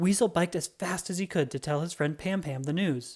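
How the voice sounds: Over a silent background in a very clean recording, the tone is slightly mellow with ordinary pitch variation. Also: moderate pace.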